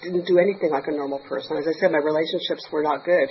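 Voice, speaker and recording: A woman's pitch rises and falls in an ordinary way while noticeable noise sits in the background. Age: 60s. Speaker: 12-step meeting speaker. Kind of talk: testimony. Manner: halting.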